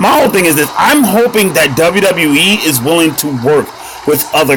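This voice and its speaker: A man's animated tone and lively intonation over noticeable background noise. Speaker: mobile gaming youtuber. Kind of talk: casual gameplay commentary. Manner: loud.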